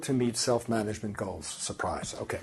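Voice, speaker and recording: Vocal fry at a fairly quick pace. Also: man. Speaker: research professor. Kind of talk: lecture. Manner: halting.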